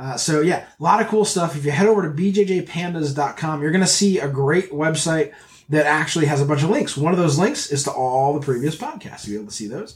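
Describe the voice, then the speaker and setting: A man speaks very fast with hardly any pauses, his pitch fairly high and its variation ordinary. Noticeable background noise sits behind him. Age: 40s. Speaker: jiu-jitsu podcast host and gear seller. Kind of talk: casual chat; promotional plug. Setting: studio. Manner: animated.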